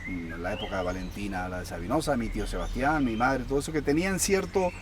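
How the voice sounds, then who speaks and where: A Canarian accent amid noticeable background noise. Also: man. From Canary Islands, Tenerife. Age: 50s. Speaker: folk musician. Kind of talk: interview answer.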